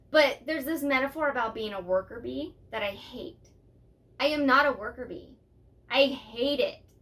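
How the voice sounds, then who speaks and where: Delivered at a moderate pace with ordinary pitch variation, the speech shows big swings in loudness. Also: woman, high pitch for a woman. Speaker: podcast co-host. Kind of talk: casual chat. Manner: animated.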